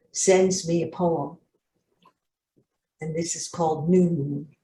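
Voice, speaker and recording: A woman's fairly low, somewhat breathy voice with a dark, mellow tone, at a fairly slow pace. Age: 80s+. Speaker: poet. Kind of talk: poetry reading.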